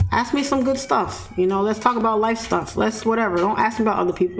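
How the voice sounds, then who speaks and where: A woman with a New York accent, animated in tone, fairly high in pitch, at a moderate pace with ordinary pitch variation, music in the background. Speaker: forex trader and trading mentor. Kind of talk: live-stream commentary to chat. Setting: live stream. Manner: blunt, animated.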